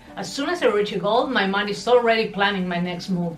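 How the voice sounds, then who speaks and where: Over music in the background and with audible room echo, a woman with a non-native accent talks at a fairly quick pace with lively intonation. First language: not English. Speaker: lifestyle vlogger. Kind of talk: personal confession vlog. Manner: conversational and expressive.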